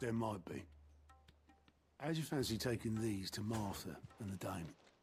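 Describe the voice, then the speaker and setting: A man's raspy, put-on character voice at medium pitch and a moderate pace, with faint music in the background. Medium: video game. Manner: dry, sardonic.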